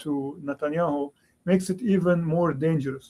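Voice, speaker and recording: The man's voice is high-pitched with a dark, mellow tone. His pitch varies in an ordinary way. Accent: Lebanese. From Lebanon. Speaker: history professor. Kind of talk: panel discussion.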